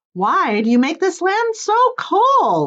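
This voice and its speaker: A woman puts on a squeaky character voice at an extremely high pitch. It has very wide pitch swings and a fairly slow pace. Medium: read story. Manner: confident.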